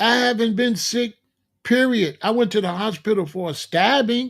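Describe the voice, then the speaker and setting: One man speaks on a very clean recording with a silent background. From Chicago. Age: 60s. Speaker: vegan health streamer. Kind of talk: live stream monologue. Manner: casual, conversational.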